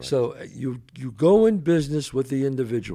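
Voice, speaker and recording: Against a quiet background, a man with a New York accent speaks at a moderate pace in a dark, mellow tone with lively intonation. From the Bronx, New York. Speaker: actor and show host. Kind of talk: casual interview conversation. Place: home room. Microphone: studio mic.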